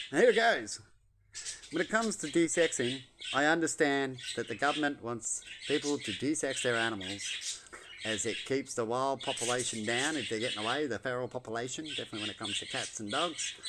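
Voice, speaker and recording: Noticeable background noise sits behind a man with an Australian accent. He talks at a fairly quick pace in a medium pitch. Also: lively intonation. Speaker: vlogger. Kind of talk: casual monologue. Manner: loud.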